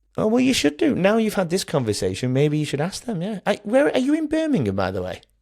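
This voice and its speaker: In a very clean recording with a silent background, a man with a high voice and a Manchester accent talks very fast with hardly any pauses, his pitch swinging very widely. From Manchester, England. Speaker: primary school relief teacher, podcaster. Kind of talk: podcast interview.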